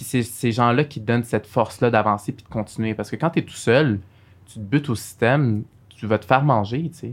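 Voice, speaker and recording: Big swings in loudness mark this voice, which moves at a fairly quick pace with ordinary pitch variation. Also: man, medium pitch for a man. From Montreal, Quebec (Saint-Michel). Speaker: lawyer. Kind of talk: interview.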